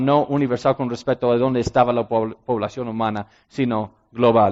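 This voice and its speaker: A man talks at a moderate pace. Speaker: ministry director and speaker. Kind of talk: sermon-style talk. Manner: halting with frequent fillers.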